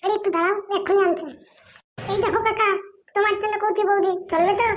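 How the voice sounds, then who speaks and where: In a cartoonish character voice, the speaker squeaks at an extremely high pitch and a moderate pace. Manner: brash, coarse.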